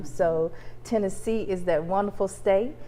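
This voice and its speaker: A woman speaks with a slight Southern accent at medium pitch and a moderate pace. Her tone is dark and mellow, and her intonation is fairly even. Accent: slight southern twang. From US South, Mississippi Delta. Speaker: college professor. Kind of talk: interview on campus TV show.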